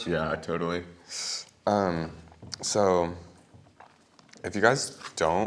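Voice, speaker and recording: The speaker is soft-spoken, with monotone, flat intonation. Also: man. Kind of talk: casual talk to camera.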